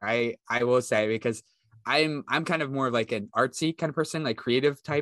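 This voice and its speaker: A man with an American accent speaks at a moderate pace and medium pitch, with ordinary pitch variation. The sound is dry and close with no echo, against a quiet background. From West Virginia, rural. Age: 20s. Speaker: cybersecurity student. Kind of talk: casual interview. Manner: halting, many fillers.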